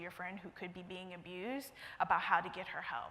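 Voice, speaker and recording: With an American accent, a woman talks at a fairly quick pace in a bright, sharp tone. Room echo is audible. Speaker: conference presenter, account executive at a marketing firm. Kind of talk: conference presentation. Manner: fast.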